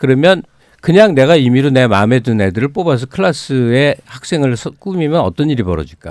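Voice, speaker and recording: This man talks at a fairly quick pace and a medium pitch. His pitch swings are very wide. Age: 50s. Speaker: book critic and panel commentator. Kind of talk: heated debate. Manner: animated.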